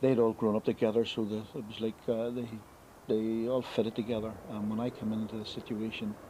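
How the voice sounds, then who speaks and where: A man speaks over noticeable background noise. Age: 50s. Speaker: wrongly convicted former prisoner. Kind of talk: documentary interview. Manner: halting.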